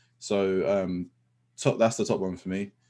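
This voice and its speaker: Against a quiet background, a man talks at a fairly quick pace in a fairly low pitch. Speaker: professional photographer. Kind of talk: webinar presentation. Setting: live online webinar. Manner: fast; many filler ums.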